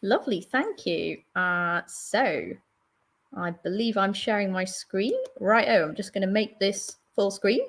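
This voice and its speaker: A woman with a London accent, medium pitch and lively intonation, at a fairly slow pace. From London, England. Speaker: IT solution architect. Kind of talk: webinar presentation. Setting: live stream video call with screen share.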